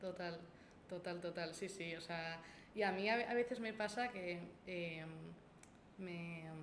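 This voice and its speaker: With a Basque accent, a woman speaks at a very slow pace and a medium pitch, her intonation fairly even, over noticeable background noise and audible room echo. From Basque Country, Gipuzkoa (Spain). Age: 20s. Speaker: university student intern. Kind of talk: casual chat. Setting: in person, coworking space.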